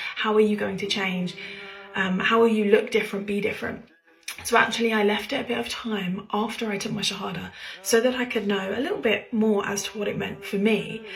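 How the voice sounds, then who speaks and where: Quiet and at a medium pitch, a woman speaks at a fairly quick pace with fairly even intonation, amid noticeable background noise and audible room echo. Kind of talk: casual personal talk.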